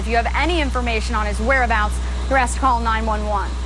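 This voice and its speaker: A woman talks while music plays in the background. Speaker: TV news reporter. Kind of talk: TV news report. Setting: live on-location news report.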